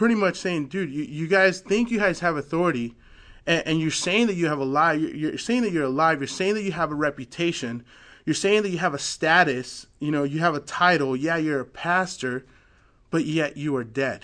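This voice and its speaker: A man speaks at a moderate pace in a fairly high pitch, his tone bright and sharp, with ordinary pitch variation over a quiet background. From Mexican heritage. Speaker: bible study leader. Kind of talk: bible study teaching. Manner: casual, filler-heavy.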